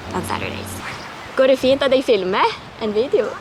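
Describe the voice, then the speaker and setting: A woman's voice with a Norwegian accent, noticeable background noise, and audible room echo. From Norway. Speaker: travel vlogger. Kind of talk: travel tips vlog. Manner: casual, conversational.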